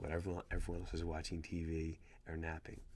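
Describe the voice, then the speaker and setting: A man's very deep, low voice, soft-spoken and somewhat breathy, at a moderate pace, on a very clean recording with a silent background. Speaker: small business owner. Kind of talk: casual vlog talk. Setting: at home, child sleeping nearby. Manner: quiet, soft-spoken.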